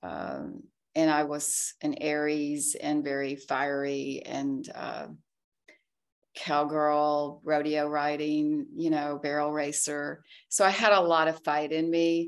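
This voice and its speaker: In an American accent, a woman speaks at a very slow pace in a very deep, low pitch with monotone, flat intonation, on a very clean recording with a silent background. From US South, Arkansas. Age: 60s. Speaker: tech entrepreneur. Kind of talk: casual interview, personal testimony.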